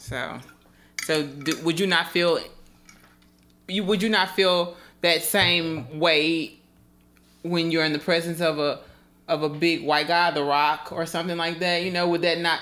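A woman with an American accent speaks at a fairly slow pace with long, frequent pauses, her fairly low pitch delivered in a monotone, flat intonation with a bright, sharp tone. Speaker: photographer and podcast host. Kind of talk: casual chat.

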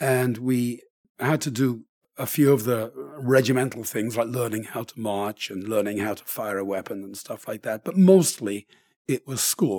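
Over a silent background in a very clean recording, a man with a dark, mellow tone speaks at medium pitch and a moderate pace, with ordinary pitch variation and a dry, close sound free of echo. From Birmingham, England. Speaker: retired teacher and air force veteran. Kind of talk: life story interview. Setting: in person, seated together. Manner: slightly halting, repeats words.

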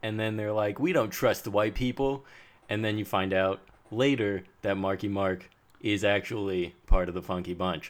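Recorded very cleanly against a silent background, a man with a Californian accent speaks at a moderate pace in a fairly low voice with fairly even intonation. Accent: Californian American. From US West Coast, San Diego suburbs. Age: 20s. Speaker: podcast co-host. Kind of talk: casual chat.

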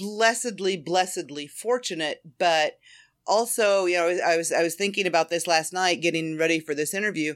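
In an unremarkable speaking voice, a woman with a fairly low pitch talks at a moderate pace, showing ordinary pitch variation and very even loudness. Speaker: fan fiction writer. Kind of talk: casual interview chat. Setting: remote call.

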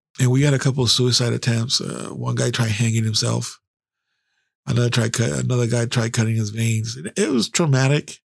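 Speaking at a fairly quick pace with an American accent, a man sounds somewhat breathy, his pitch varying in an ordinary way on a very clean recording with a silent background. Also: medium pitch for a man. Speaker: podcast host and army veteran. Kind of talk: casual storytelling monologue. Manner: hyped up, sometimes stumbling; casual, profane.

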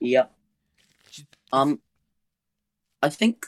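A man with a British accent, in a dry, close sound with no echo. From UK. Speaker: tabletop gamer. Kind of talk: casual chat.

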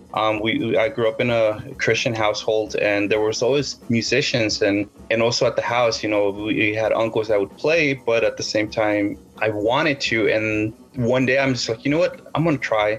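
A man with an American accent speaks at a moderate pace with fairly even intonation and very even loudness, against noticeable background noise. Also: medium pitch for a man. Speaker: rock guitarist and singer. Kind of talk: casual interview. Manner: halting, many fillers.

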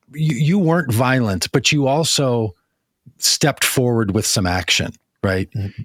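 A man speaks at a moderate pace in an unremarkable speaking voice, medium in pitch, with lively intonation on a very clean recording with a silent background. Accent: American. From US Midwest, Minnesota. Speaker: podcast host. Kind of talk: casual chat.

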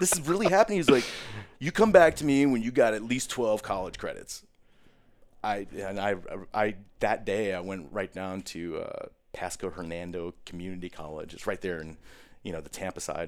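With an American accent, a man talks at a moderate pace and a fairly low pitch. His loudness swings widely, and he takes long, frequent pauses. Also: lively intonation. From US Midwest, Chicago and Wisconsin. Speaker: military veteran. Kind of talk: casual interview.

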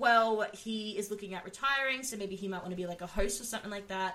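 In an Australian accent, a woman with a fairly high voice speaks at a fairly quick pace. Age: 20s. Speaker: podcast host. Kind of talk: casual chat.

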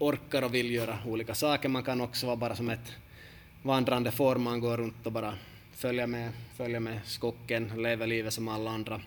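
Medium-pitched male speech at a fairly quick pace. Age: 30s. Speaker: football coach and podcast host. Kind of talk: casual podcast talk.

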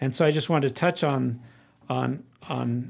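An ordinary speaking voice comes from a man with an American accent and a medium pitch. He talks at a moderate pace in a very clean recording with a silent background. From Arizona (Phoenix). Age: 60s. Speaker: bowhunter. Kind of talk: interview.

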